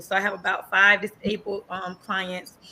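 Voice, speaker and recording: Bright and sharp in tone, a woman with a slight Southern US accent speaks at medium pitch and a moderate pace. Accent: slight country Southern. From US South, north Florida (Quincy, then Tampa). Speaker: nurse and entrepreneur. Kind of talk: interview. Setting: podcast show.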